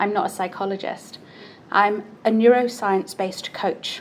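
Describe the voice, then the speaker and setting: A woman with a British accent and a fairly high pitch. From UK. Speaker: neuroscience-based coach. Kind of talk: conference talk.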